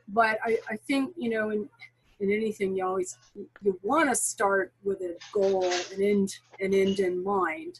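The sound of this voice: A woman speaks at medium pitch and a fairly slow pace, with lively intonation and a slightly husky edge.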